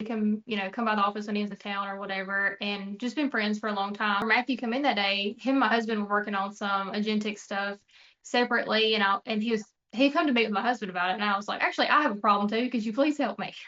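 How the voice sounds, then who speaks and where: A woman's fairly high voice with a Mississippi accent, very fast and fairly even in intonation. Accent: Southern US (Mississippi). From US South, North Mississippi. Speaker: insurance agency owner. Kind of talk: casual business chat.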